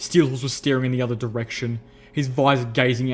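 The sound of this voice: An unforced reading voice is heard. The intonation stays fairly even.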